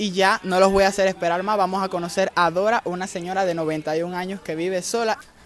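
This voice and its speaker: A man with a Cuban accent, high in pitch, at a fairly quick pace. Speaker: YouTuber doing charity visits. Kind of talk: vlog narration and street interviews. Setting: outdoors in streets.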